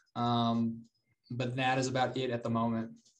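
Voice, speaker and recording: Audible room echo surrounds a man speaking with an American accent at a moderate pace. His medium-pitched voice stays monotone and flat. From North Carolina, Charlotte. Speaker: real estate investor. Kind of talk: interview.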